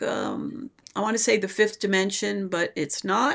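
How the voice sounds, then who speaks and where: A fairly slow voice with an American accent and ordinary pitch variation, over noticeable background noise. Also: woman. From New York City, the Bronx. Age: 70s. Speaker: minister. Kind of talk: interview conversation. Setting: radio show.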